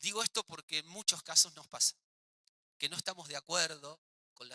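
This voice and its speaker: A man speaks in a raised, projected voice with a bright, sharp tone. The sound is dry and close with no echo, and his pitch varies in an ordinary way. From Argentina. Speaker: physical education teacher, workshop leader. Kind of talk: workshop lecture. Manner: fast.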